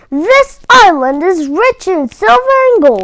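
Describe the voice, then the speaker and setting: A woman's put-on character voice, extremely high, raised and projected, with very wide pitch swings at a fairly slow pace. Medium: read story.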